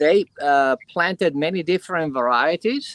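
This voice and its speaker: The speaker has an Italian accent and a moderate pace with ordinary pitch variation. The sound is dry and close, with no echo. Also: man. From Italy, Piedmont. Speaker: winemaker. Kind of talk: presentation.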